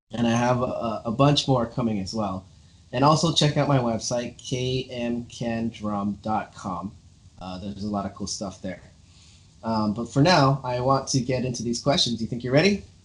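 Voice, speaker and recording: Somewhat breathy and medium in pitch, a man speaks at a moderate pace with ordinary pitch variation. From Los Angeles, US West Coast. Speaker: drummer, interview show host. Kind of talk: casual interview chat.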